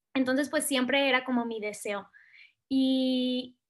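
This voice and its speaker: On a very clean recording with a silent background, a woman talks at a fairly slow pace and a high pitch. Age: 20s. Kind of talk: testimony.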